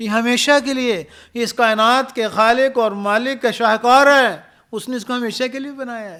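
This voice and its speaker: A man speaks in a raised, projected voice at an extremely high pitch. His intonation stays fairly even while his loudness swings widely. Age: 50s. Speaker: university professor and speaker. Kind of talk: podcast interview.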